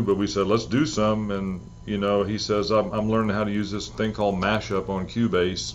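Talking at a moderate pace, a man has a normal speaking voice with a fairly low pitch. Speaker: guitarist and songwriter. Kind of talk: casual interview chat.

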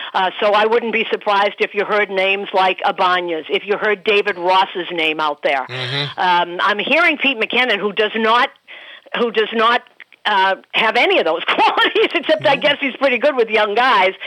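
Against noticeable background noise, a woman speaks with very wide pitch swings but very even loudness. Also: medium pitch for a woman, moderate pace. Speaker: baseball broadcaster. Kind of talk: casual chat.

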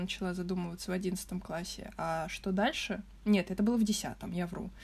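Somewhat breathy, a woman speaks at a moderate pace with fairly even intonation. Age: young (19). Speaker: design student. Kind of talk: casual chat.

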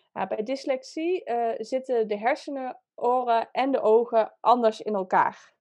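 This woman's high voice moves at a fairly slow pace with ordinary pitch variation. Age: 30s. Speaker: dyslexia coach. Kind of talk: interview. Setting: video call.

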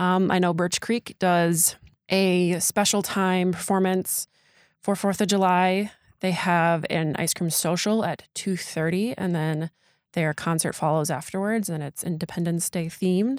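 In an unremarkable speaking voice of medium pitch, a woman talks at a fairly slow pace with fairly even intonation, sounding dry and close with no echo on a very clean recording over a silent background. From Door County, Wisconsin. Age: 20s. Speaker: local news podcast co-host. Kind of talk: casual event roundup chat.

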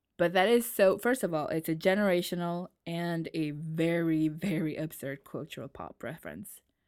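A woman's animated voice with an American accent, fairly low in pitch for a woman, ordinary pitch variation, big swings in loudness, a moderate pace and hardly any pauses. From New York. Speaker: podcast host. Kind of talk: casual chat. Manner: animated, laughs often.

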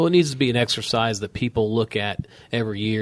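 This man speaks at a very fast pace. His intonation stays fairly even. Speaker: insurance company president. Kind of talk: interview.

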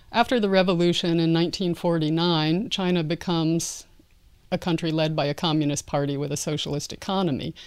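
An ordinary speaking voice, this woman's fairly low-pitched delivery has an American accent, ordinary pitch variation, and a moderate pace on a very clean recording with a silent background. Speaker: anthropologist and sports historian. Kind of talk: interview.

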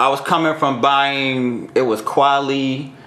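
Someone with a New York accent speaks amid noticeable background noise and audible room echo. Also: man. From New York (Brooklyn). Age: 30s. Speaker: DJ. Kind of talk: casual chat.

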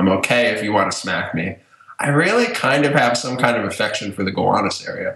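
Medium pitch, a fairly quick pace and an unremarkable speaking voice from a man. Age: 20s. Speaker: former podcast host and blogger. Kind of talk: casual chat. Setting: remote call from home. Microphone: echoey room sound.

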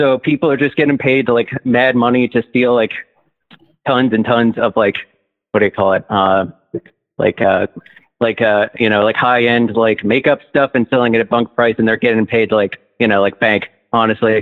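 With an American accent, a man of medium pitch speaks at a moderate pace, keeping his loudness very even and his intonation fairly even, with long, frequent pauses. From New Jersey. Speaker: caller. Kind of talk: phone-in chat. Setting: phone call.

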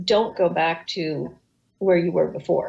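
At a moderate pace, a woman talks. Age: 60s. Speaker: communications professional and author. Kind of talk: casual interview. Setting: video call.

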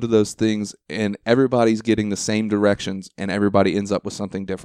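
With an American accent, a man speaks at a very fast pace and a fairly low pitch, in a dry, close sound with no echo on a very clean recording with a silent background. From Ohio. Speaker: podcast host, stand-up comedian. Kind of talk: casual chat. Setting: at the guest's home.

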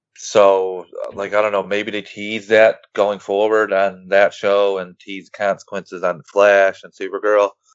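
With hardly any pauses, a man talks in a fairly low, monotone, flat voice whose loudness swings widely. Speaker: podcaster and superhero fan. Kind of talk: casual chat.

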